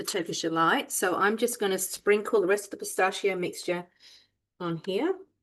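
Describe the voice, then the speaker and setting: A woman's medium-pitched voice at a moderate pace, with ordinary pitch variation over a quiet background. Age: 60s. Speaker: cooking demonstrator. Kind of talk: cooking tutorial. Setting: home kitchen. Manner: casual, hesitant with fillers.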